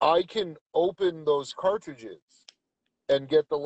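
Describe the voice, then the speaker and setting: Recorded dry and close with no echo, a man talks in a plain, everyday voice, fairly high in pitch, with ordinary pitch variation. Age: 30s. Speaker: co-host of live stream. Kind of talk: casual chat. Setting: in a truck on phone.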